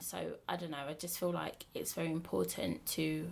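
A woman speaks at a moderate pace with vocal fry. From Bromley, south-east London. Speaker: dating app co-founder. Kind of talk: casual chat.

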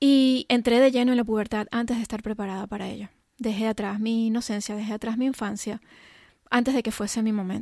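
A woman's fairly high, dark, mellow voice at a fairly quick pace, monotone and flat, on a very clean recording with a silent background. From Venezuela. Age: 40s. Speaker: life and business coach. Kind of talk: personal monologue.

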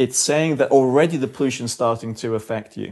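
A man speaks with a London accent, his pitch fairly high. His intonation is lively and his pace moderate. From England, London. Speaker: doctor. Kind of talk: Q&A discussion.

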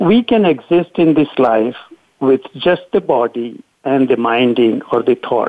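At a fairly slow pace, a man speaks at a medium pitch in a plain, everyday voice with very even loudness. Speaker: surgeon and author. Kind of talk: interview.

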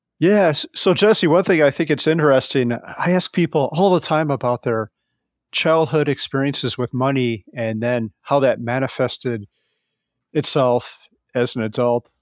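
Recorded very cleanly with a silent background and a dry, close sound with no echo, a man with an unremarkable speaking voice and a fairly high pitch talks at a moderate pace with ordinary pitch variation. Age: 40s. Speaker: financial independence blogger. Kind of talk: interview.

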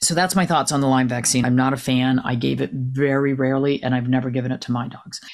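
Over noticeable background noise, a woman with an American accent speaks very fast in a very deep, low pitch, with hardly any pauses and fairly even intonation. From New Jersey. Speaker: retired veterinarian. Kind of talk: interview conversation.

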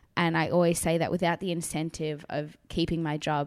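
A woman with an Australian accent and a very deep, low pitch, at a fairly quick pace in a flat monotone, on a very clean recording with a silent background. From South Africa. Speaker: actress. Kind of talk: casual interview. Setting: studio in a spare room.

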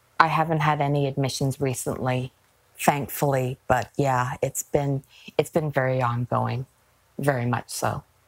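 In a dry, close recording with no echo but noticeable background noise, a woman speaks at a moderate pace in a very deep, low, flat, monotone voice. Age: 40s. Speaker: guest sharing experience of depression. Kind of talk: interview testimony.

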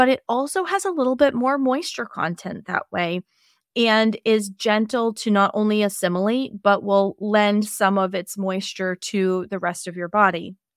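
In a normal speaking voice, a woman talks at a medium pitch and a moderate pace with ordinary pitch variation, the sound dry and close with no echo. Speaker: health podcast host, Chinese medicine practitioner. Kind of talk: solo educational podcast talk.

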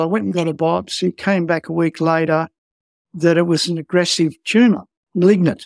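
This man speaks at a fairly quick pace with an Australian accent, his high-pitched voice keeping a fairly even intonation. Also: dry, close sound with no echo. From rural Australia. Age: 70s. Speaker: skin cancer patient. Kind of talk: personal interview testimony. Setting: remote call from home office.

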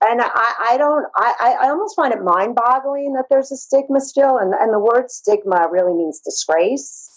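In an American accent, a woman speaks at a moderate pace and a high pitch with very wide pitch swings and hardly any pauses. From Brooklyn, New York. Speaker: therapist. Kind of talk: interview, personal story.

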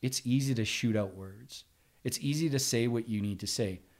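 A man with a plain, everyday voice speaks at a fairly slow pace in a medium pitch with ordinary pitch variation, on a very clean recording with a silent background. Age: 40s. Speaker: sales professional. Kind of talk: casual interview chat.

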